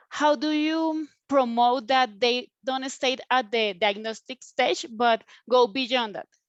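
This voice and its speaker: Against a quiet background, with dry, close sound and no echo, the speaker uses a Spanish accent, ordinary pitch variation, and a very slow pace. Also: woman, high pitch for a woman. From Colombia, Bogota. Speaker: mental health consultant, attendee. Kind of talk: audience question. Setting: video call. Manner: halting.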